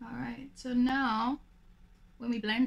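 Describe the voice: A woman speaks slowly, her raspy voice sinking into vocal fry with little pitch movement. Audible echo fills the room.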